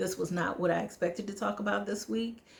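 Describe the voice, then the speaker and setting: Noticeable background noise sits behind a voice with an American accent. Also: woman. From United States. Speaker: travel vlogger. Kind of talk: casual vlog monologue. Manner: fast.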